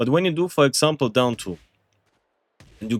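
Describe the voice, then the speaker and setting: A man speaks with a non-native accent in a dry, close recording with no echo. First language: not English. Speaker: gaming content creator. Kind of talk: tutorial. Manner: casual, with fillers and hesitations; animated.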